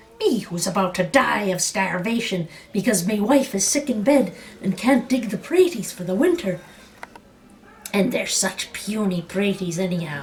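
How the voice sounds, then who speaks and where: Someone in a whiny put-on character voice talks at a moderate pace with ordinary pitch variation. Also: woman, medium pitch for a woman. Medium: read story. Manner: whiny, self-pitying.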